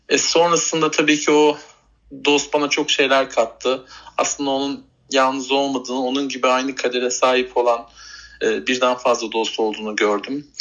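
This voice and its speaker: Medium pitch and fairly even intonation in a man's speech. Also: moderate pace. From Turkey, Bursa. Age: 30s. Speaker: retail worker and animal rescuer. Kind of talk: interview. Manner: halting, many fillers.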